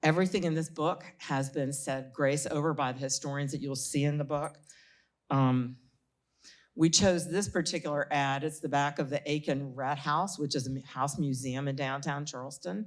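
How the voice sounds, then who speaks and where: Over a silent background in a very clean recording, a woman with a South Carolina accent speaks at a moderate pace, her very deep, low pitch held in fairly even intonation. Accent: South Carolina Southern. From US South. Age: 70s. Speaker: author. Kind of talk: panel talk. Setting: stage with audience.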